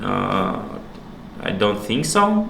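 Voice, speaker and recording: A man with a Russian accent and ordinary pitch variation, amid noticeable background noise and audible room echo. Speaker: stream host. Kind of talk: casual chat. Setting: live stream, away from home.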